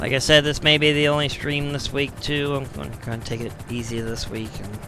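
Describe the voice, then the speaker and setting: With noticeable background noise present, someone talks at a moderate rate. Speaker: gaming streamer. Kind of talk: live gameplay commentary. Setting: live stream. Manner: casual, conversational.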